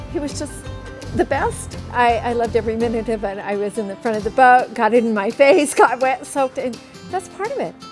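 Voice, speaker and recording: A woman with a high voice, a fairly quick pace and ordinary pitch variation, with clear music playing behind her. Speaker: daughter of the rafter. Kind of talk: interview answer. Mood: warm, grateful, emotional. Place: garden.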